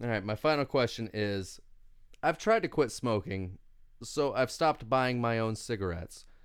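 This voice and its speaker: A man with a Kentucky accent at medium pitch, moderate pace and ordinary pitch variation, in a very clean recording with a silent background. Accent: Kentucky Southern. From Kentucky (Winchester). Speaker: comedian. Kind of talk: casual interview chat. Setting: studio. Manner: halting, many fillers.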